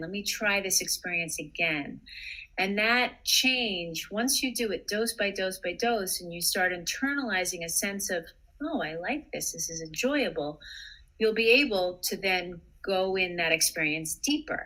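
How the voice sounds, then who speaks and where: A woman speaks at a fairly slow pace in a bright, sharp, calm tone. Her intonation is lively. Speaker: psychotherapist. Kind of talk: interview advice.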